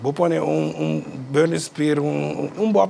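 The voice makes very wide pitch swings over light background noise. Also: man. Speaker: musician; interview guest. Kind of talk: interview. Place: studio.

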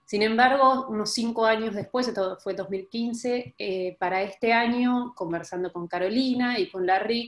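With an Argentine accent, a woman speaks fairly slowly at a fairly high pitch with ordinary pitch variation, and audible room echo surrounds her voice. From Argentina. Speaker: sustainable development researcher; panelist. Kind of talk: online panel presentation. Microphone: video call.

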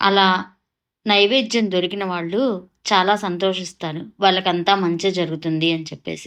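A woman with an unremarkable speaking voice talks at a medium pitch with fairly even intonation against a quiet background. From Andhra Pradesh, Kollipara near Guntur. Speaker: vlogger. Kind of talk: travel vlog narration.

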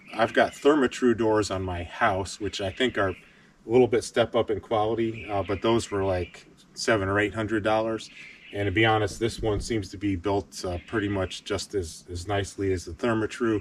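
Somewhat breathy, a man speaks at a moderate pace with fairly low pitch and fairly even intonation, the sound dry with no echo and light background noise. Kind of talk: casual vlog chat. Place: forest. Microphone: camera far.

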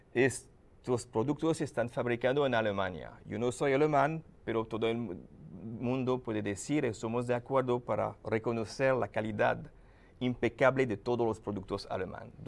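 A man with a non-native accent, vocal fry and ordinary pitch variation, on a very clean recording with a silent background. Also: medium pitch for a man, moderate pace. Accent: foreign. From France, Paris. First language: French (speaking Spanish). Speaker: lubricant company manager. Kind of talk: TV interview. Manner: halting.

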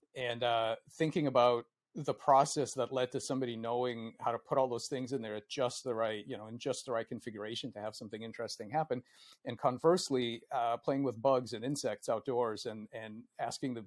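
A man talks fairly quickly, with fairly even intonation, and the background is quiet. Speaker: guest. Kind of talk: interview answer. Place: home room. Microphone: earbuds.

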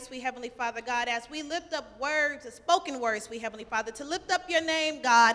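A raised, projected voice at a fairly quick pace with ordinary pitch variation. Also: woman. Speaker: church event participant leading prayer. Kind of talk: church prayer opening a spoken word event. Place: church.

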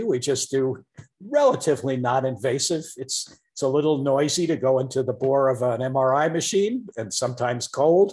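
A somewhat breathy man at a moderate pace with hardly any pauses and ordinary pitch variation, over a quiet background. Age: 60s. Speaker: professor. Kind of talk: interview. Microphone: video call.

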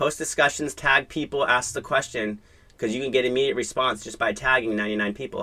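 A man talks at a fairly quick pace in a bright, sharp tone. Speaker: real estate marketing mastermind facilitator. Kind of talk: live group coaching session. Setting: video call. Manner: animated. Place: home room.

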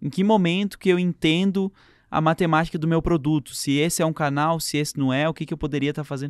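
This man speaks very fast with a fairly high pitch and fairly even intonation, in a very clean recording with a silent background and a dry, close sound with no echo. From interior of São Paulo state, Brazil. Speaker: entrepreneur and author. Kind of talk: casual interview chat.

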